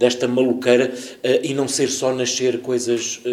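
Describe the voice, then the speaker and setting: Audible room echo around a man speaking at a fairly slow pace. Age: 50s. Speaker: actor. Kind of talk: casual chat. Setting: stage with audience.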